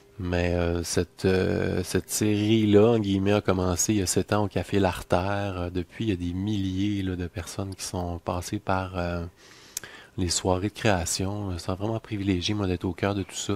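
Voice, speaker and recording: A man with a Quebec accent, very deep and low in pitch, fairly slow and monotone with flat intonation, in a dry sound with no echo. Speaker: musician and music teacher; music teacher. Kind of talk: promotional video message. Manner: hesitant, many fillers. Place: home room. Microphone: headset.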